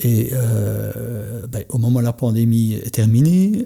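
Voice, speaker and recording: A man speaks at a very slow pace with a dark, mellow tone that is somewhat breathy. His pitch is medium with ordinary pitch variation. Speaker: entrepreneur and coach. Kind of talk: podcast conversation. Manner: halting, many hesitations.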